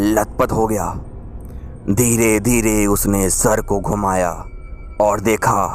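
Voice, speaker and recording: There is music in the background as a man speaks at a fairly low pitch. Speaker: radio jockey. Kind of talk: radio horror story narration.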